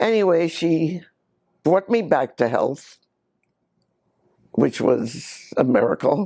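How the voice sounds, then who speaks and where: Her voice dark and mellow and fairly low, a woman speaks very slowly with very wide pitch swings and long, frequent pauses. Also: very even loudness. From Germany, Berlin. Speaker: Holocaust survivor. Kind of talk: testimony. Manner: halting.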